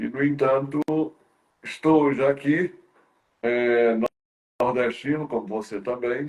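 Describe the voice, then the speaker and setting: With long, frequent pauses, a man speaks very slowly at medium pitch and with fairly even intonation. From Brazil, Ceará interior (Northeast). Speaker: talk show host. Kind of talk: interview conversation. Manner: halting, many fillers and repetitions.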